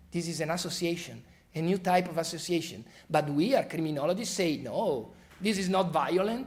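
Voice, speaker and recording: A high-pitched man with an Italian accent at a fairly quick pace, ordinary pitch variation and audible room echo. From Italy. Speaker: criminology professor. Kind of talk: expert talk.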